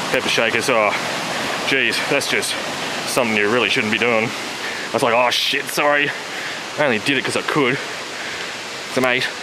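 Long, frequent pauses break up a man's moderate-paced speech amid loud background noise. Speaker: hiker vlogger. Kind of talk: casual vlog chat. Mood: amused, storytelling. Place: forest. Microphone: phone near.

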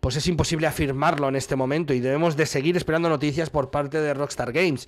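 Over a quiet background, a man with a Spanish accent speaks at a fairly quick pace, his fairly high pitch showing ordinary variation. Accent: Spanish (Spain). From Spain. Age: 40s. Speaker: gaming news streamer. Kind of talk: news commentary video. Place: home room. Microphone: studio mic.

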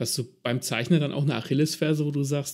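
Speaking very fast, a man with a fairly high pitch shows vocal fry. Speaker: podcast host. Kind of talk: interview.

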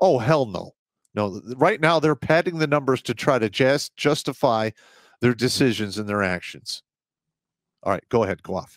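A man talks at a moderate pace with lively intonation. The sound is dry with no echo, and the background is quiet. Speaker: podcast host. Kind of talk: opinion commentary. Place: studio. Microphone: headset.

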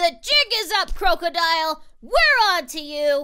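A woman's cartoonish character voice, extremely high-pitched, with lively intonation and a fairly slow pace. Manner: upbeat, excitable.

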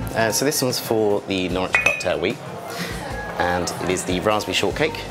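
A man speaks over loud music in the background. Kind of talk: interview answer. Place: bar.

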